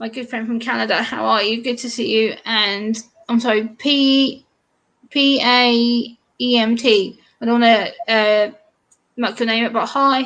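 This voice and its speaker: A woman with an English accent and a fairly high pitch, at a fairly slow pace. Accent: English accent, sounds prim and proper. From eastern England. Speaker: YouTuber guest. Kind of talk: casual chat. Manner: animated.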